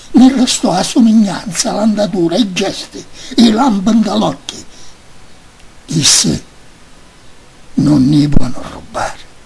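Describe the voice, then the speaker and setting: The speech moves at a very slow pace, broken by long, frequent pauses. Noticeable background noise runs throughout. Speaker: poetry reader. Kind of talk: poetry reading.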